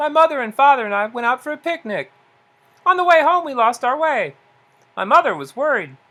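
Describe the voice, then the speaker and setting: A high, put-on character voice speaks with long, frequent pauses in a very clean recording with a silent background. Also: fairly quick pace. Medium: read story. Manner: teasing.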